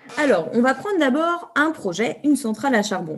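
At a moderate pace, a woman talks as her pitch swings very widely. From France. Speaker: environmental activist, NGO founder. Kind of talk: interview.

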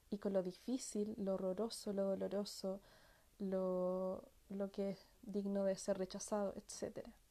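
A woman's dark, mellow tone at a fairly slow pace. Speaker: workshop facilitator on family healing. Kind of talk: live-stream talk. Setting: online live broadcast. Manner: soft-spoken; halting, many repetitions. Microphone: sounds distant and quiet.

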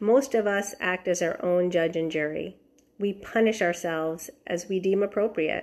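A woman at a medium pitch and moderate pace, with ordinary pitch variation. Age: 50s. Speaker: health and life coach. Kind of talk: podcast monologue. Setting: outdoors in backyard.

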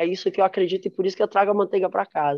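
This is a woman speaking at a medium pitch. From São Paulo (east zone). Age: 40s. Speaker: percussionist and cultural activist. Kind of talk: panel discussion.

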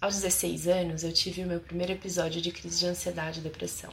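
A woman's warm-toned voice at a fairly quick pace over noticeable background noise. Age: 30s. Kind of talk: testimony and advice monologue to camera. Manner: warm, intimate.

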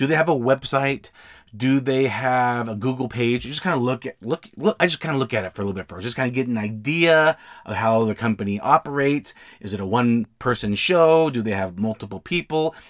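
In a dry, close recording with no echo, a man with an American accent talks at a fairly quick pace in a medium-pitched, animated tone. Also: ordinary pitch variation. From US West, Utah. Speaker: podcast host and signing service owner. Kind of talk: solo podcast monologue with advice. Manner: conversational, animated, informal.

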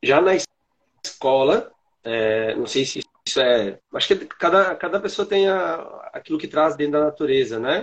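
A man with a fairly high voice talks at a fairly slow pace, his pitch swinging very widely, with long, frequent pauses. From Santana do Livramento, Rio Grande do Sul, Brazil. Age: 40s. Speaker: coffee educator. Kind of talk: casual chat.

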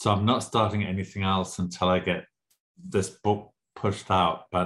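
A man talks in a very deep, low voice. His pace is moderate, against a quiet background. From Southern Africa (Zimbabwe, South Africa). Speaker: novelist. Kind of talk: interview.

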